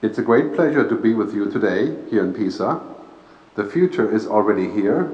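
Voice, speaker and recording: Audible room echo surrounds a man who speaks at a moderate pace with a medium pitch and lively intonation. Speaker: futurist speaker and author. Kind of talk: keynote talk. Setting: stage with audience and PA system, live interpreter.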